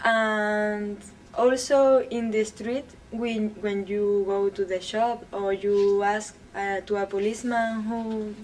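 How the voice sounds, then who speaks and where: In a fairly high pitch, a woman speaks at a very slow pace with monotone, flat intonation. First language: not English. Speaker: English language student. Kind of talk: interview answers.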